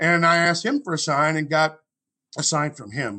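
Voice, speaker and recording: At a moderate pace, a man talks in a plain, everyday voice with a fairly high pitch. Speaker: grief speaker. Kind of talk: interview conversation.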